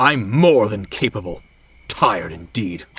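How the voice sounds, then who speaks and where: Growling in a put-on character voice, a man speaks at a moderate pace and a fairly low pitch. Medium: read story. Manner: formal, upper-class politeness.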